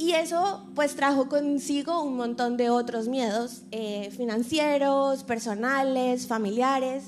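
A high-pitched woman at a very slow pace, ordinary pitch variation, noticeable background noise. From Colombia. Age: 20s. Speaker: actress and reporter sharing testimony. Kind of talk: testimony.

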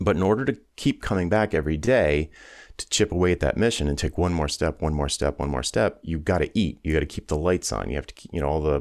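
A man speaks with a very deep, low pitch, vocal fry and ordinary pitch variation. The recording is very clean, with a silent background. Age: 50s. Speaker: business coach and former musician. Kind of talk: interview conversation.

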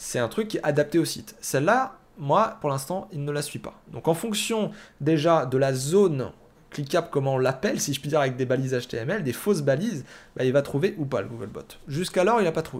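A man talks fairly quickly, his intonation lively, on a very clean recording with a silent background. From France. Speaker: SEO news podcast host. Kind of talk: solo news commentary. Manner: hesitant with many fillers.

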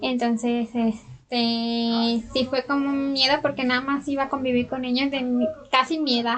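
Over noticeable background noise, a woman speaks fairly slowly in a high pitch with monotone, flat intonation. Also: hardly any pauses. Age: 20s. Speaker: journalist with a hearing impairment. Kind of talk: interview.

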